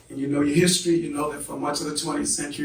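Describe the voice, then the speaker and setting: Amid audible room echo and noticeable background noise, a man speaks at a fairly high pitch. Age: 60s. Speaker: professor. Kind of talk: lecture. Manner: animated.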